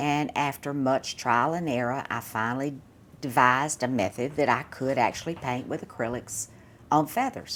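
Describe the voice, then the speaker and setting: A woman with a Southern US accent, a very deep, low pitch, fairly even intonation and a moderate pace. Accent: non-local Southern. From US South, South Mississippi (Laurel). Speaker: artist. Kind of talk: interview.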